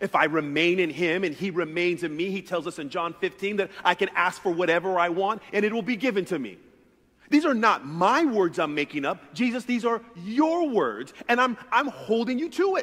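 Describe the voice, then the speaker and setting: A man keeps a moderate pace as he talks against a quiet background. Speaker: pastor. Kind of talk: sermon. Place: church. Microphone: headset.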